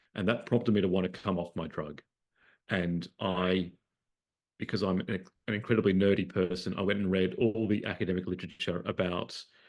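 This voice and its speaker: In an Australian accent, a man with a very deep, low pitch talks at a fairly quick pace in a monotone, flat intonation against a quiet background. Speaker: psychiatrist and researcher. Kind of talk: talk to an online audience. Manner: hesitant, many fillers and repeated words.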